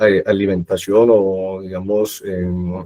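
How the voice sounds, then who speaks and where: A man is speaking. He has a Colombian accent. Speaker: product manager presenting at a webinar. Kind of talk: technical webinar presentation. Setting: online webinar. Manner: hesitant fillers (eh, digamos).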